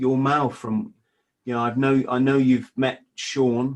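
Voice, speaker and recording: This man speaks at a medium pitch with an English accent. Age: 50s. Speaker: former marine, author. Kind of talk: casual interview chat. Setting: Skype call.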